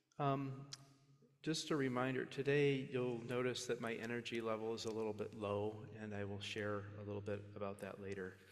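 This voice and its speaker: A soft-spoken man at medium pitch and moderate pace, fairly even in intonation, with audible room echo. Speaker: minister. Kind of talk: sermon.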